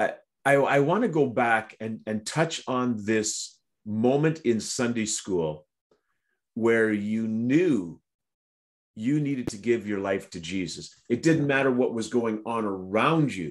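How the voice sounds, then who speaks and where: Fairly slow male speech with lively intonation. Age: middle-aged. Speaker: prayer broadcast host. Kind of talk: devotional talk and interview. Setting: online video broadcast. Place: home room. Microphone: video call.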